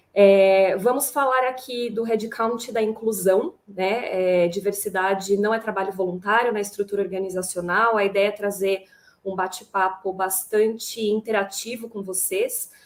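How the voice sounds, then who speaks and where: A woman with a plain, everyday voice speaks at a fairly slow pace and medium pitch, with fairly even intonation and hardly any pauses. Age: 30s. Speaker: HR manager, panel moderator. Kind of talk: panel discussion.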